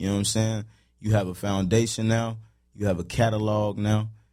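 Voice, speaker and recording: There is audible room echo around a man's fairly low-pitched voice. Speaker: podcast host. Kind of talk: casual interview chat.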